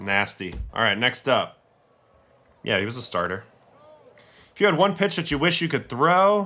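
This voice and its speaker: With an American accent, a man talks at a moderate pace in a fairly high voice that is bright, sharp and animated, sweeping through very wide pitch swings with vocal fry and long, frequent pauses. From New York City. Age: 40s. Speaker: former pro baseball pitcher, streamer. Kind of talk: livestream game breakdown. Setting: livestream.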